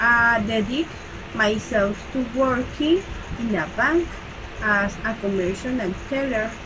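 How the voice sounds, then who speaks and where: Over noticeable background noise, a woman with a Salvadoran accent speaks fairly slowly at a fairly high pitch. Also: ordinary pitch variation. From El Salvador. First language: Spanish. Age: 20s. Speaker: bank teller. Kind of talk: self-introduction read aloud. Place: home room. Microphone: webcam.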